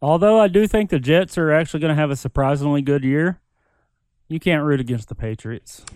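Fairly quick speech from a man with a normal speaking voice, fairly high pitch and ordinary pitch variation, the sound dry and close with no echo. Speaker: podcast guest. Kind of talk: casual chat.

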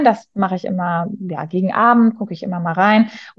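The voice is somewhat breathy, with ordinary pitch variation. It moves along at a moderate pace. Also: woman. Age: 30s. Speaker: teacher and coach. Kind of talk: interview. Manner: hesitant, many fillers.

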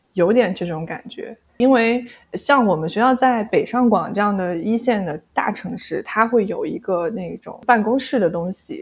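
A woman talks at a moderate pace in a somewhat breathy voice. Her pitch varies in an ordinary way. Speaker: former bank employee and graduate student. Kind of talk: casual interview.

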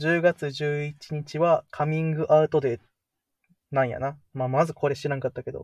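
This man speaks at a moderate pace in a fairly high, somewhat breathy voice with monotone, flat intonation, recorded with a dry, close sound with no echo against a quiet background. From Kansai, Japan. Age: 20s. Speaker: podcast co-host. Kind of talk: casual chat.

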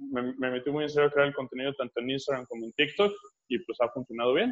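Pitched fairly high, this man's voice shows ordinary pitch variation. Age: 30s. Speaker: fitness coach and MMA fighter. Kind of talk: casual interview.

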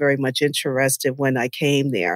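A woman with an American accent talks at a moderate pace in a very clean recording with a silent background and a dry, close sound with no echo. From New York (Westchester). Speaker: dietitian and nutritionist. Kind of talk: casual interview conversation.

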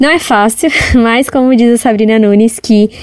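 The intonation stays fairly even. Noticeable background noise can be heard. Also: woman. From Brazil, São Paulo. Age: 20s. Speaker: entrepreneur, shop owner. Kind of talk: interview testimony.

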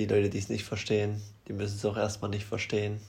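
A somewhat breathy, fairly low-pitched male voice. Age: 20s. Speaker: podcast co-host. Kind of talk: casual chat.

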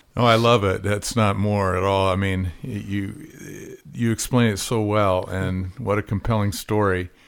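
With an ordinary speaking voice, a man talks fairly slowly in a fairly low pitch and fairly even intonation, on a very clean recording with a silent background. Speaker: podcast host. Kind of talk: interview. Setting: in person.

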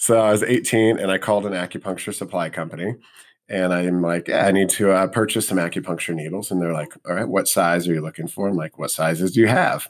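A man's very deep, low voice with an American accent, very fast in pace with ordinary pitch variation, on a very clean recording with a silent background. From US Midwest, Missouri (St. Louis). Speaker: acupuncturist. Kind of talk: interview conversation.

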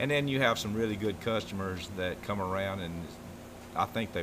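In an Alabama accent, a man talks at a fairly quick pace. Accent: Southern US (Alabama). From US South, Alabama. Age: 60s. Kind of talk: interview. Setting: on location in warehouse.

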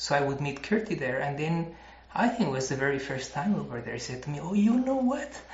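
A man with a fairly high voice, speaking at a fairly quick clip with lively intonation over noticeable background noise. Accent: Spanish. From Mexico (Mexico City). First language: Spanish. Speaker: chemist and former Buddhist monk. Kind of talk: interview. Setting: monastery.

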